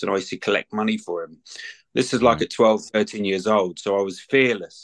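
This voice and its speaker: A man with a London accent at a fairly quick pace, in a dry, close sound with no echo and a quiet background. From London, England. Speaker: retired mixed martial artist and bare knuckle boxer. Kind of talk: casual chat.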